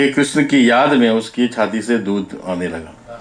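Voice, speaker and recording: Male speech in a non-native accent, the pitch varying in an ordinary way. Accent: non-native Hindi. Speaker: speaker on Goan culture and history. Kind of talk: talk to an audience. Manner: halting.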